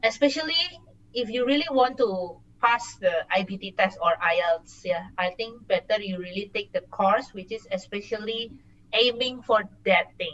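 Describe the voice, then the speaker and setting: A woman with a Singaporean accent talks at a moderate pace with a fairly high pitch, lively intonation and big swings in loudness. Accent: sounds Singaporean. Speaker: working professional studying abroad. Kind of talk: casual interview. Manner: hesitant, many fillers.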